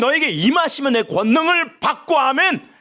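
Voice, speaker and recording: A man speaks fairly slowly in a raised, projected voice with ordinary pitch variation. His tone is animated, bright and sharp. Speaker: pastor. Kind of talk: sermon. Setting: church prayer meeting with audience. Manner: loud.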